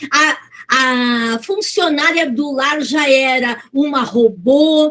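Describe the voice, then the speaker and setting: Lively intonation in a high female voice. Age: 60s. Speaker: motivational speaker. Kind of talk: talk.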